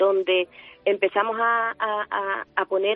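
Music plays in the background. Over it, a woman speaks at medium pitch. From Huelva, Andalusia, Spain. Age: 50s. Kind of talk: radio interview. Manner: halting, with many repetitions.

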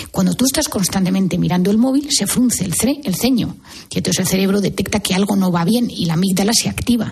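Noticeable background noise runs under speech delivered at a very fast pace. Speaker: psychiatrist. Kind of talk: radio interview.

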